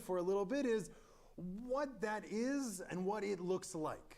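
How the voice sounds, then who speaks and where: This man's voice is high for a man, moving at a moderate pace with audible room echo around it. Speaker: rabbi. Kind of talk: Torah study lecture. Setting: synagogue chapel with live stream. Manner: loud; halting, many fillers.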